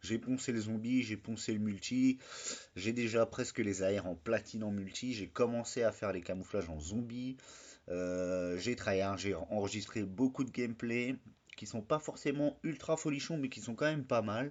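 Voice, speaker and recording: A man speaks at a moderate pace in a normal speaking voice, with medium pitch and ordinary pitch variation. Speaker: gaming YouTuber. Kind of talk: casual video review.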